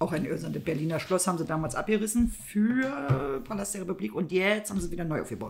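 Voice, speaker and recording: A woman speaks very fast in a fairly low voice, with very wide pitch swings and hardly any pauses. Noticeable background noise sits under her speech. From East Germany. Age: middle-aged. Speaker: podcast co-host. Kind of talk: casual chat.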